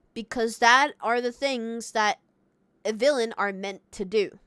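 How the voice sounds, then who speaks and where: A woman with a non-native accent speaks at a fairly slow pace with ordinary pitch variation. The sound is very clean and dry, close with no echo and a silent background. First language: not English. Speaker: streamer. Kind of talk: live stream chat. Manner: halting.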